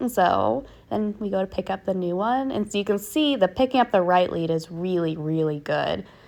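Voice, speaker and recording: A woman's relaxed, medium-pitched voice at a moderate pace, with very wide pitch swings. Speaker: horse rider and trainer. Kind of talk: voiceover commentary on riding video. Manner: casual, relaxed.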